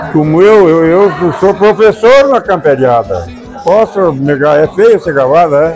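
Over clear background music, a man with a high pitch talks at a fairly slow pace with lively intonation. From southern Brazil. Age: 80s+. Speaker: cattle drover. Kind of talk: interview answer. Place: hall.

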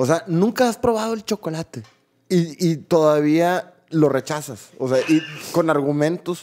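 A man speaks at a fairly slow pace in a fairly high voice. His intonation is lively. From Mexico. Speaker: podcast co-host. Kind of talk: casual chat. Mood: relaxed, storytelling. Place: studio. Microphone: studio mic.

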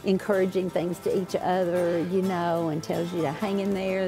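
Clear music plays in the background as a woman speaks at a fairly quick pace. Her intonation is monotone and flat. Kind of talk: interview answer. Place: open country.

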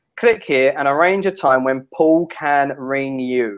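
In a London accent, a man speaks with a fairly high pitch over a quiet background. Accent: English (London area). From England. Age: 30s. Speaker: internet marketing strategist; guest. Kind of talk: interview. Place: home room.

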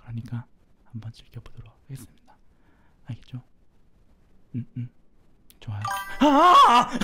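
A fairly slow delivery with long, frequent pauses over music in the background. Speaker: gaming streamer. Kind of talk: live game commentary. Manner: quiet, soft-spoken.

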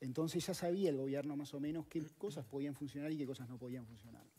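A man talks at a fairly quick pace with a fairly high pitch. His tone is dark and mellow, with ordinary pitch variation. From Uruguay. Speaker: economist; guest. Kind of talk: interview; interview answer. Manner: hesitant, many fillers. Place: studio. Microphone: headset.

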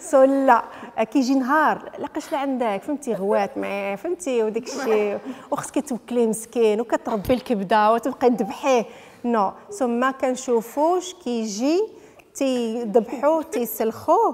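The pace is fairly slow. The intonation is lively. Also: woman, high pitch for a woman. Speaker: footballer's wife; interviewee. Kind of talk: interview. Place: home room. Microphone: handheld.

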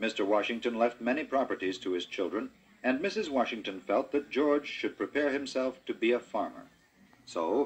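The voice belongs to a man. He keeps a moderate speed. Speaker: audiobook narrator. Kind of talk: storybook narration. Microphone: old recording.

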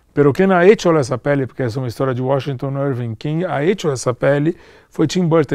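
A man's voice with ordinary pitch variation, dry with no echo, over a quiet background. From Brazil, São Paulo (born Rio de Janeiro). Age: 40s. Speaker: film producer; guest. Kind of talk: interview. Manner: halting, mixing Portuguese and Spanish. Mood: relaxed, reflective. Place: hall.

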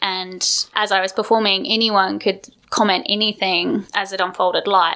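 A woman's medium-pitched voice with an Australian accent, bright and sharp in tone, at a moderate pace with fairly even intonation. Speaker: performance artist. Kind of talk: interview.

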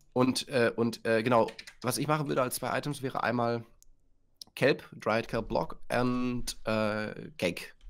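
A man's very slow delivery with ordinary pitch variation. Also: medium pitch for a man. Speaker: co-builder, fellow gaming youtuber. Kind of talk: casual gaming chat.

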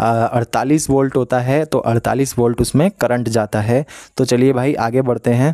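In a dark, mellow tone, a man of medium pitch speaks at a fairly slow pace with hardly any pauses, fairly even intonation and very even loudness, in a dry sound with no echo against a quiet background. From Uttarakhand village. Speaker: e-rickshaw driver and vlogger; vlogger answering comments. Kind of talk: Q&A vlog reading viewer comments. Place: home room. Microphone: phone near.

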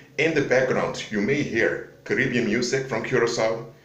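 There is audible room echo around the voice. Its pitch varies in an ordinary way. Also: man. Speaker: vlogger. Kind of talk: casual vlog chat, preaching. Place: home room. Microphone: phone near.

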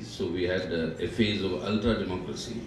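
Noticeable background noise and audible room echo around a male speaker. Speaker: guest lecturer. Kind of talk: lecture. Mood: reminiscent, warm. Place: hall. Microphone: podium.

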